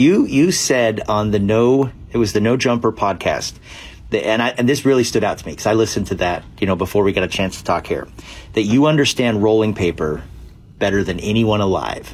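This man has a normal speaking voice with a fairly low pitch. He talks at a fairly quick pace with ordinary pitch variation. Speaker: podcast host interviewer.

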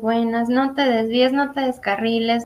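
A woman speaks at a fairly slow pace in a high voice, her intonation fairly even. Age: 20s. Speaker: graphic design graduate. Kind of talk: testimony.

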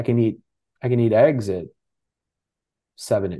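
A man with an American accent talks fairly quickly in a dark, mellow, medium-pitched voice with ordinary pitch variation. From Texas. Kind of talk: casual chat. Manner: casual, filler-heavy.

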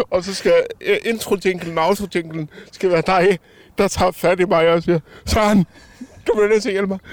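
With noticeable background noise, a man speaks at a moderate pace in a high, monotone, flat voice, dry and close with no echo, pausing long and often. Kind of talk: casual chat. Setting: outdoors at a harbour.

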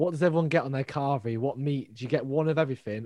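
A man speaks very fast with a Mancunian accent. His tone is dark and mellow. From Manchester. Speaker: podcast co-host. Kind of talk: casual chat. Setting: remote recording from home.

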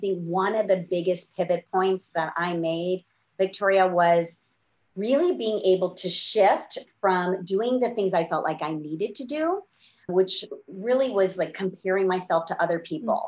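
A woman with an ordinary speaking voice talks at a moderate pace, her medium pitch showing ordinary pitch variation. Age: 50s. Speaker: business coach. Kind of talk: interview.

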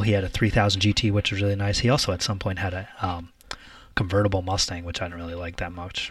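A man talks at a very fast pace. His pitch is fairly low, and his voice is somewhat breathy. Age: 30s. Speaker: car podcast co-host. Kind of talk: casual chat.

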